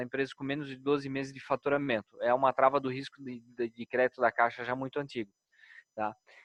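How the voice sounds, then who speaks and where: A man speaks in a Brazilian accent at a medium pitch, his intonation monotone and flat. The sound is dry and close, with no echo. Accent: non-Brasília regional accent, noticeable. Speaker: bank executive. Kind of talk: business webinar Q&A. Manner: hesitant, many repetitions.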